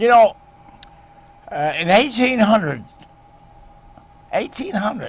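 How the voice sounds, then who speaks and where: A man talks at a fairly slow pace in a high pitch, with very wide pitch swings. Long, frequent pauses break his speech, and noticeable background noise is heard. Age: 90s. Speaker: TV cooking show host. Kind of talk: casual chat. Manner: halting; animated.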